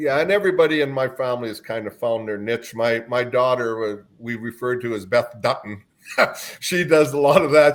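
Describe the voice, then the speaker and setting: This man speaks with a Canadian accent at a moderate pace. His pitch is medium, with ordinary variation. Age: 60s. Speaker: carnival owner. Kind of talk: podcast interview. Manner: animated.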